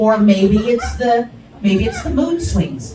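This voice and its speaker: A woman with a New Jersey accent at a moderate pace, over noticeable background noise. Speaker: stand-up comedian; veteran. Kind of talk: stand-up comedy set.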